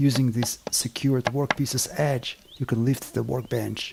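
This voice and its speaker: A man with a non-native accent and fairly even intonation, amid noticeable background noise. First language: not English. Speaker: woodworking and bushcraft video maker. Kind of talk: scripted narration. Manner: formal.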